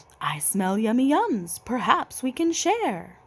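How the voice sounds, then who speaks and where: Here a female-sounding voice does a put-on character voice at a high pitch with very wide pitch swings. It moves at a fairly slow pace. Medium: read story.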